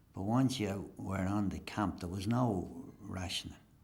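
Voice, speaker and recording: In an Irish accent, a man speaks with fairly even intonation, and audible room echo surrounds his voice. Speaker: interviewee. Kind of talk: interview.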